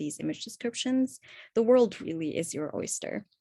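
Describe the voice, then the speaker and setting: A woman with an Arabic accent, quiet background. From Egypt. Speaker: accessibility workshop presenter. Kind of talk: webinar presentation. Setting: online webinar.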